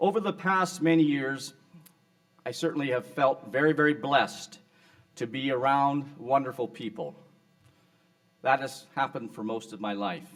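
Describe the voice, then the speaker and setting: A man with a fairly high voice speaks at a moderate pace with lively intonation, big swings in loudness, and long, frequent pauses. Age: 60s. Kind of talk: award acceptance speech. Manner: formal.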